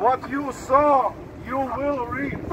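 A man's raised, projected voice at an extremely high pitch and very slow pace, amid noticeable background noise. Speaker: street preacher. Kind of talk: street preaching, sermon to passers-by. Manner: emphatic, preacher's delivery. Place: street. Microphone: camera far.

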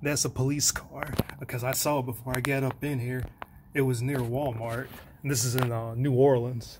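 Against noticeable background noise, a man talks in a monotone, flat intonation. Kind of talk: casual vlog chat. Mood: wary, hushed, a bit nervous. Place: empty room. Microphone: phone near.

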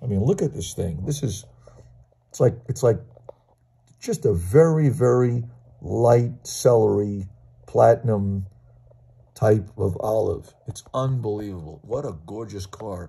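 Speaking at a fairly slow pace, a man takes long, frequent pauses and has big swings in loudness. His medium-pitched voice is somewhat breathy, with a dark, mellow tone and lively intonation. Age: 60s. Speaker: toy car collector. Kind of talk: video show-and-tell. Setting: at home. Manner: enthusiastic. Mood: enthusiastic, admiring. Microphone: phone near.

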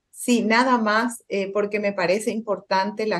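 Fairly slow speech from a woman, medium in pitch. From Paraguay. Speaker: physician, panel expert. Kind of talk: panel discussion. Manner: halting.

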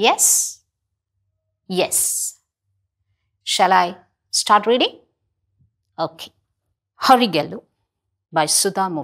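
A woman speaks at a very slow pace, with long, frequent pauses. Her pitch varies in an ordinary way over a quiet background. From India, Kerala. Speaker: school English teacher. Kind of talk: televised classroom lesson. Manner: slow, clear teaching style with frequent questions to students. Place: studio. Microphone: lapel.

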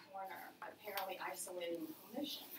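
A woman's voice against loud background noise. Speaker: presenter. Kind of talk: lecture. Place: meeting room. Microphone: camera far.

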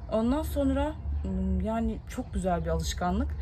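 A woman speaks while faint music sounds behind her. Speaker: vlogger mother. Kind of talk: casual vlog chat. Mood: relaxed, warm. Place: garden. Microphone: phone near.

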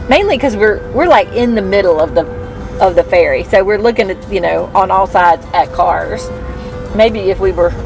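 Clear music plays in the background of a dry recording with no echo. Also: woman, moderate pace. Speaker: family travel vlogger. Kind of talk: casual vlog chat. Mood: relaxed, chatty. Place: car. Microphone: phone near.

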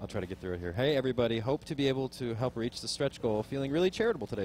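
With light background noise and a dry sound free of echo, a man speaks with lively intonation. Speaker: charity stream co-host. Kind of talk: casual live stream chat. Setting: live event venue with audience. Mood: grateful, casual. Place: home room.

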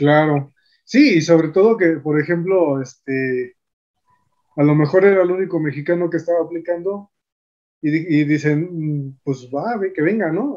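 In an ordinary speaking voice, a man talks at a fairly slow pace with ordinary pitch variation over a quiet background. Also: fairly high pitch for a man. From Mexico. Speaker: YouTube host, physicist; YouTube host. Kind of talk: interview. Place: home room. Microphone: video call.

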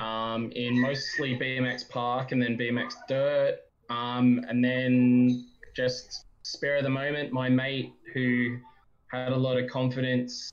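A man speaks at a very slow pace in a monotone with flat intonation. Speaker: podcast guest. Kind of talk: interview answer. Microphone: video call.

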